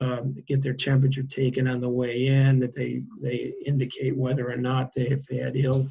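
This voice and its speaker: Monotone, flat intonation from a man with a somewhat breathy voice, medium pitch and moderate pace. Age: 60s. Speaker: advocacy director for a seniors' organization. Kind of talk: interview.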